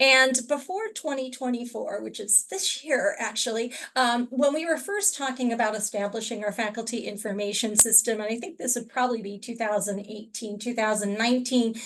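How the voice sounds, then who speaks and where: A woman's unremarkable speaking voice at a fairly high pitch, fairly quick pace and hardly any pauses. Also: ordinary pitch variation. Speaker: university librarian. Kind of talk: webinar presentation.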